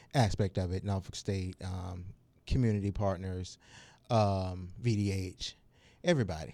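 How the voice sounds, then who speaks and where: Someone with an American accent speaks at a moderate pace in a very clean recording with a silent background. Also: man. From Suffolk, Virginia. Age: 40s. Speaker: community health worker. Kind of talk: radio interview.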